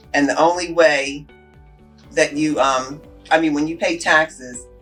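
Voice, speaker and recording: Music plays in the background. The speaker keeps a moderate pace with monotone, flat intonation. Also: woman. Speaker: city mayor. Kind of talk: interview answer.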